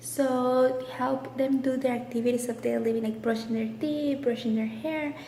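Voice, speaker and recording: A woman speaks at a high pitch and a fairly slow pace, her intonation fairly even. Noticeable background noise and audible room echo surround her voice. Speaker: nurse. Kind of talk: personal vlog.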